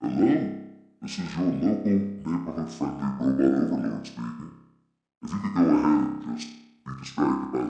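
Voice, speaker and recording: Using a put-on character voice, a man speaks at a moderate pace with a clear echo. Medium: tutorial demo.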